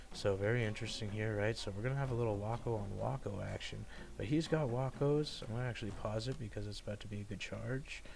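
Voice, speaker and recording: A somewhat breathy man with a fairly low pitch at a very fast pace, hardly any pauses, and audible room echo. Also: ordinary pitch variation. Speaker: gaming video creator. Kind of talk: game commentary. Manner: casual, many fillers.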